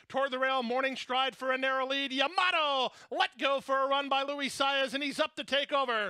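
In an excited tone, a man with an extremely high pitch speaks in a raised, projected voice, with hardly any pauses. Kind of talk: live race call. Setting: racetrack PA or broadcast booth. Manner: rapid-fire, urgent, building to excited crescendos as horses surge at the finish.

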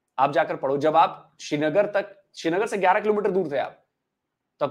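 This man speaks with lively intonation and a high pitch. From Bihar, Gopalganj district; Bihar. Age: 40s. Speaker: YouTuber and former TV journalist; podcast guest, YouTuber. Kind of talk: interview. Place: home room. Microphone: lapel.

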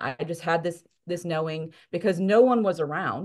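A woman speaks at a moderate pace in a fairly low pitch, with ordinary pitch variation, against a quiet background. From US South, New Orleans, Louisiana; Louisiana. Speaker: life coach. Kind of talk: podcast interview, personal testimony. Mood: reflective, earnest storytelling. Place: home room. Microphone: video call.

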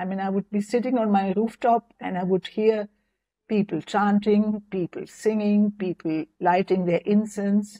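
A woman with a German accent, somewhat breathy and dark, mellow in tone, at a fairly slow pace over a quiet background. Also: medium pitch for a woman, fairly even intonation. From West Germany. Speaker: near-death experience survivor and author; interview guest. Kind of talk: interview testimony. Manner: halting. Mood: calm, reflective. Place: home room. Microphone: lapel.

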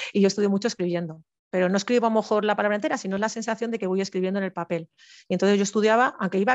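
A woman speaks at a very fast pace with fairly even intonation, the sound dry with no echo and the background quiet. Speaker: civil servant, panel speaker sharing exam experience; guest. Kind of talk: informational talk, webinar. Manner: halting, many false starts. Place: home room. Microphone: headset.

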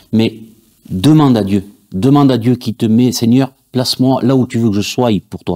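At a moderate pace, a man with a dark, mellow tone and ordinary pitch variation talks over a quiet background, pausing often and at length. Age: 40s. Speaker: church audiovisual volunteer. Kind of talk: testimony; interview answer. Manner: halting, many fillers. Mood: earnest, faith testimony. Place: studio.

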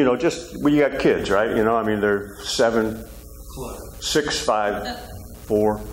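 Over faint background noise, a man talks at a fairly slow pace in a fairly low voice with ordinary pitch variation.

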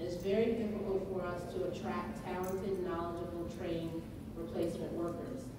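Speech comes at a moderate pace in a strongly echoing room, with noticeable background noise underneath. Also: woman. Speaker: panelist. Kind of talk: panel presentation. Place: hall.

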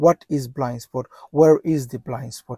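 A man talks at a moderate pace with fairly even intonation and a dark, mellow tone. The sound is dry with no echo, over a quiet background. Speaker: driving instructor. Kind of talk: tutorial. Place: car. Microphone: lapel.

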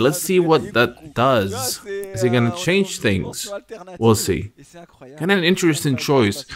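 Over noticeable background noise, a man talks in an animated, excited tone with very wide pitch swings. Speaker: esports commentator. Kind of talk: live commentary. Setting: video voiceover over match footage. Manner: animated, excited play-by-play; builds tension, rising excitement toward the finish.

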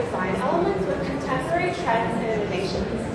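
A woman talking at a fairly quick clip amid loud background noise and audible room echo. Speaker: industrial designer. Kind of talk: sales pitch. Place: hall. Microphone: pa.

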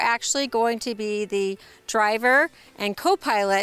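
Her tone bright and sharp, a woman speaks with dry sound and no echo. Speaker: company sales director, host. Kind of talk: promotional presenter talk. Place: street.

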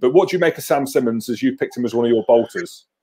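A man with a dark, mellow tone talks against a quiet background. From Scotland. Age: 30s. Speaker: former rugby player and show host. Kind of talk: casual live panel chat. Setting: video call. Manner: animated. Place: home room. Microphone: handheld.

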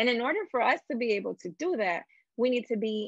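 A woman's voice with vocal fry, moderate pace and ordinary pitch variation, dry with no echo over a quiet background. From Dominican Republic heritage. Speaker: community organizer and popular educator; educator. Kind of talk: interview. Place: home room. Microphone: video call.

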